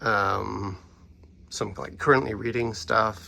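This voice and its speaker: A bright, sharp tone with vocal fry at a very slow pace, on a very clean recording with a silent background. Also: man. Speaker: comic and art book collector. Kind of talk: casual talk to camera. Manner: hesitant, filler-heavy.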